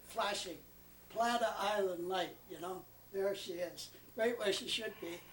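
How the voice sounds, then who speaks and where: A high-pitched man talks at a fairly slow pace, his pitch varying in an ordinary way, with noticeable background noise behind him. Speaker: retired naval officer. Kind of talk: casual storytelling. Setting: family gathering at home. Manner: halting.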